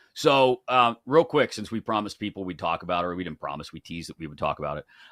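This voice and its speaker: In an American accent, a man speaks with a fairly low pitch, a bright, sharp tone, and lively intonation on a very clean, dry, close recording with a silent background and no echo. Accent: Pittsburgh (Yinzer), comes out when stressed. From Pittsburgh, US. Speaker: sports betting show host. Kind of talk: casual chat.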